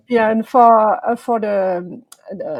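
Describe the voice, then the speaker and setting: The somewhat breathy voice has a French accent and is captured on a very clean recording with a silent background. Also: woman. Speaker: podcast host. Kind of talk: casual chat.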